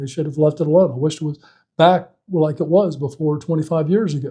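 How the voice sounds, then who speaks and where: A man with an Alabama accent speaks at a moderate pace in a dark, mellow tone, his pitch fairly high. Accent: Southern US (Alabama). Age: 60s. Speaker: political candidate and insurance agent. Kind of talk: interview. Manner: halting, many fillers and restarts.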